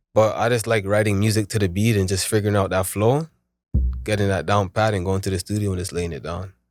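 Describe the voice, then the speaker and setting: Against music in the background, the speaker goes at a very fast pace with ordinary pitch variation. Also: man, fairly low pitch for a man. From Toronto, Canada (Weston Road, then Ajax). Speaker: rapper. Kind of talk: casual interview chat. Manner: casual, filler-heavy.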